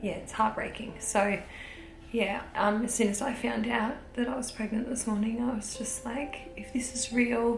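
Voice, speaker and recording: Quiet, fairly high-pitched woman's voice with an Australian accent, monotone, flat intonation, noticeable background noise and audible room echo. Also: moderate pace. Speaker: vlogger. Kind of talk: video diary.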